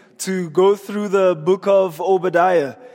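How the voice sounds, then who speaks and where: A man talks with a high pitch and fairly even intonation. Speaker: preacher. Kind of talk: sermon.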